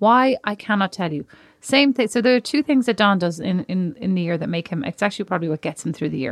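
A woman's medium-pitched voice with an Irish accent, very fast, with very wide pitch swings, dry and close with no echo over a quiet background. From Ireland. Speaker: podcast co-host. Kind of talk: casual chat.

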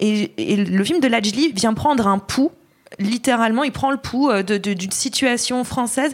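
There is noticeable background noise. A woman speaks with a fairly high pitch. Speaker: film critic. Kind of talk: casual film review discussion. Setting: on location at a film festival.

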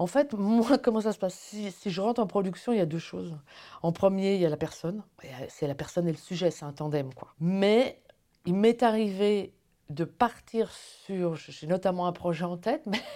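At a moderate pace, the voice carries ordinary pitch variation. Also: woman. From France, Paris. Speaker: film producer. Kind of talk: interview. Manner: hesitant, many fillers.

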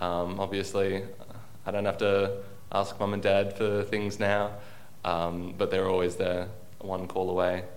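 Speech comes at a fairly slow pace with monotone, flat intonation and long, frequent pauses, and audible room echo is heard. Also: man, fairly low pitch for a man. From Australia, Sydney. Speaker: university student. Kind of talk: interview.

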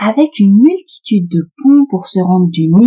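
Somewhat breathy and dark, mellow in tone, a woman's voice with lively intonation in a dry, close sound with no echo. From France, Paris. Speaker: podcast host for French learners. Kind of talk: scripted narration.

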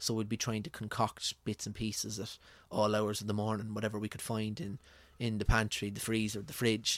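Recorded very cleanly with a silent background, a man talks at a fairly quick pace and fairly low pitch in a monotone, flat intonation. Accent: rural Irish. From rural Ireland. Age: 30s. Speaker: food blogger. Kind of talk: casual interview. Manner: halting.

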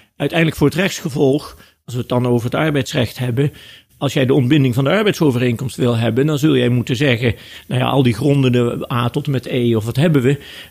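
Very fast speech from a man at a medium pitch, his pitch varying in an ordinary way. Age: 60s. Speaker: law professor and lawyer. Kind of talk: interview.

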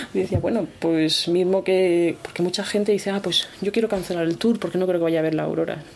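A woman at a fairly low pitch, with fairly even intonation, very even loudness, hardly any pauses and noticeable background noise. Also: fairly quick pace. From Spain, Murcia. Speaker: campsite owner. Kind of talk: interview.

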